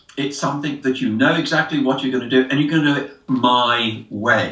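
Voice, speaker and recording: With noticeable noise in the background, a fairly high-pitched man talks at a moderate pace, his pitch varying in an ordinary way. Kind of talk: interview answer. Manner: expressive.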